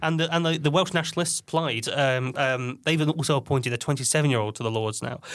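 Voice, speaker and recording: A man with a British accent, hardly any pauses. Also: fairly high pitch for a man, ordinary pitch variation. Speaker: podcast co-host. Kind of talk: casual chat.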